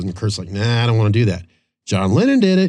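A man with an American accent speaks at a medium pitch over a quiet background. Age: 50s. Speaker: podcast host. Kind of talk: casual chat. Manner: animated.

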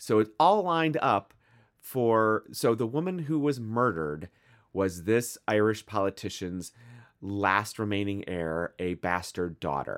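In a Midwestern American accent, a man speaks at a fairly slow pace with a fairly low pitch and lively intonation, on a very clean recording with a silent background and a dry, close sound with no echo. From US Midwest. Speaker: podcast co-host. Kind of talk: casual chat.

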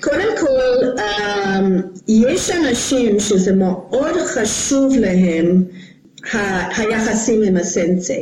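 Over noticeable background noise and audible room echo, a woman with a fairly high pitch speaks at a very slow pace, her loudness very even and her intonation lively. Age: 60s. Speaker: karate instructor. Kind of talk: interview.

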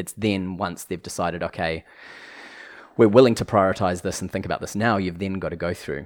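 This man speaks at a fairly quick pace with a New Zealand accent and a very deep, low pitch. His intonation is fairly even, and the recording is very clean with a silent background. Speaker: legal tech executive, former lawyer. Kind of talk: casual interview.

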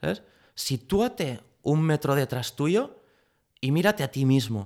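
A man speaks at a very slow pace with lively intonation and a medium pitch. The recording is very clean, with a silent background. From Catalonia, Spain. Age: 30s. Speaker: pastry chef and chocolate maker. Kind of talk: interview conversation.

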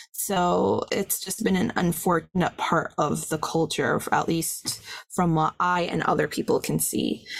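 A woman at a fairly slow pace, her loudness very even throughout. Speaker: podcast co-host. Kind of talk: casual film discussion. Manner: passionate.

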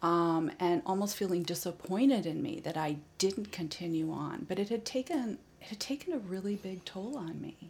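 This is a woman with an unremarkable speaking voice. She talks at a moderate pace. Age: 50s. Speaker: healing arts practitioner. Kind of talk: interview. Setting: kitchen table home recording.

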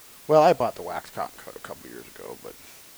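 Moderate pace from a man with an American accent, over noticeable background noise. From Northern California. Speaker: hunting podcast co-host. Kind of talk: casual chat.

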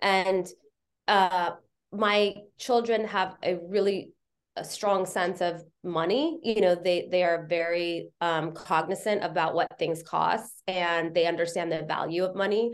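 A plain, everyday voice moves at a fairly slow pace. Its intonation stays fairly even. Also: woman, medium pitch for a woman. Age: 50s. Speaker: television commercial director and producer. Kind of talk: casual interview conversation. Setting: video call.

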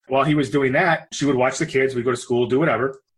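This is a man speaking at medium pitch. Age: 40s. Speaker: entrepreneur and restaurant owner. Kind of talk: interview. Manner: animated.

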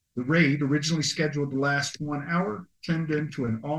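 At a moderate pace, a man talks in an unremarkable speaking voice pitched fairly high. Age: 60s. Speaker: military veteran, podcast co-host. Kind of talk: casual chat with history segment reading.

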